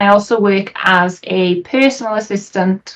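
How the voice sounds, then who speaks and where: A woman with a Welsh accent and fairly even intonation. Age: 20s. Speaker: streamer. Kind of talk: interview.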